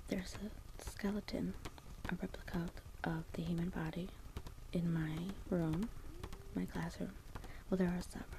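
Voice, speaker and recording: Soft-spoken and gentle in tone, the voice moves at a moderate pace with long, frequent pauses over noticeable background noise. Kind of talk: casual study tutorial. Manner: soft-spoken ASMR voice, hushed and gentle.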